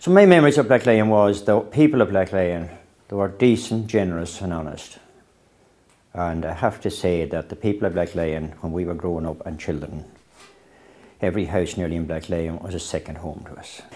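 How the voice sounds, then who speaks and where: With a Northern Irish accent, a man speaks at a very deep, low pitch with ordinary variation. His tone is dark and mellow, and his loudness swings widely. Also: fairly quick pace. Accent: Northern Irish (Fermanagh). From Northern Ireland, County Fermanagh. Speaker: local resident recalling childhood. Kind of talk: oral history interview.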